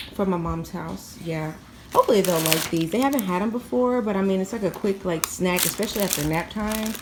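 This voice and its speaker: Noticeable background noise runs under a woman speaking with ordinary pitch variation. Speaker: stay-at-home mom vlogger. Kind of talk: casual vlog talk. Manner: soft-spoken, talking low.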